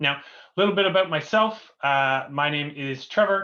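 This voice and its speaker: With a Canadian accent, a man speaks at a fairly slow pace using lively intonation. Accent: Canadian, noticeable to UK audience. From Canada. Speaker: company co-founder, webinar host. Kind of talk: webinar presentation. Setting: online webinar. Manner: many filler words (uh, um).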